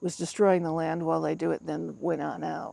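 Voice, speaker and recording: The speaker is a woman. Her words carry audible room echo. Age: 60s. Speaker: pagan high priestess. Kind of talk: interview. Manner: casual, with many fillers.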